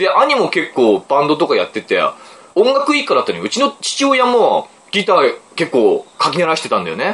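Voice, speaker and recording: The speaker is a man at a moderate pace. Noticeable background noise can be heard. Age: 40s. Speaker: book podcast host. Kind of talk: casual chat.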